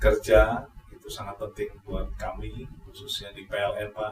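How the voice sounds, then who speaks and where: A fairly slow pace in a Javanese accent. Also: man. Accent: Javanese-sounding Indonesian. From East Java, Malang. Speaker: electricity company manager. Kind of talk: podcast interview. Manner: hesitant with frequent fillers.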